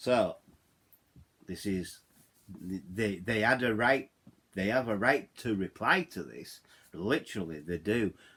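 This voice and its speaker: In a Yorkshire accent with a bright, sharp tone, the speaker goes at a very slow pace with long, frequent pauses and lively intonation. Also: man, fairly low pitch for a man. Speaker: YouTuber. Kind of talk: vlog rant. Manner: halting, repeats words; animated.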